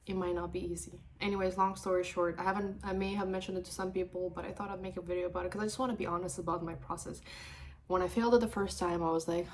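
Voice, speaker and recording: A woman at a medium pitch and a very fast pace. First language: not English; English is third language. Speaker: mortgage broker. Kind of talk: personal vlog. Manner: animated.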